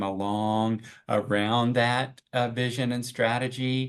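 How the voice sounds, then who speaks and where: This man has a medium pitch and an American accent. His intonation is monotone and flat, against a quiet background. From Oklahoma, US. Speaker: bank president. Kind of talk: interview. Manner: halting.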